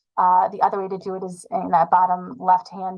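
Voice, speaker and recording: A woman is speaking. She keeps a fairly quick pace. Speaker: sports medicine physician. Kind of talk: webinar lecture. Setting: online webinar. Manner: fast.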